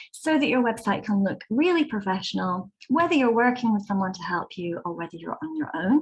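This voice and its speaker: The speaker has a British accent, and the pitch swings very widely. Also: woman. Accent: British, moderate. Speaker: website design consultant. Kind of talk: webinar presentation.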